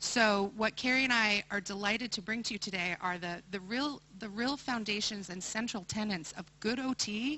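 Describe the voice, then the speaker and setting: A woman with an ordinary speaking voice, pitched fairly high, moves at a moderate pace and lets her pitch vary in a normal way. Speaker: occupational therapy professor. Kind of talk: conference presentation.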